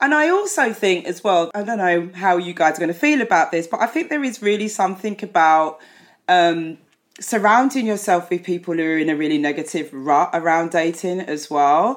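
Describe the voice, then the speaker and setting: Speaking at a moderate pace in an ordinary speaking voice, a woman with fairly low pitch uses lively intonation. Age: 50s. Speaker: psychotherapist. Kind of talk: casual chat. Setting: video call.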